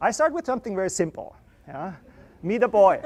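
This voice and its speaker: Loud and at a fairly quick pace, a man talks with an Austrian accent against a quiet background. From Austria, Vienna. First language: German. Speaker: artist and university professor. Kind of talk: lecture. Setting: classroom with students. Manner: loud, projecting to the room.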